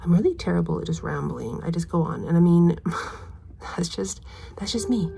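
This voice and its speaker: A woman speaks softly. Her pace is fairly quick. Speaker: mom vlogger. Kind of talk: casual chat. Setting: at home, cleaning daughter's room. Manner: quiet, soft-spoken; fast.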